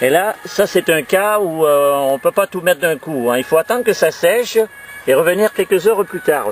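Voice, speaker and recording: Lively intonation at a moderate pace, with music in the background. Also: man. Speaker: amateur DIY video maker. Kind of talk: tutorial. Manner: halting, many fillers and repeats.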